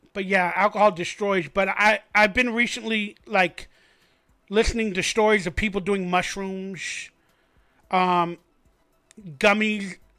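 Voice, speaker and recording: Backed by music, a man with a raised, projected voice speaks fairly slowly at a high pitch, his intonation fairly even and his pauses long and frequent. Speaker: sports fan livestream host. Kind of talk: casual live stream monologue. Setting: live stream. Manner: slurring, sounds drunk.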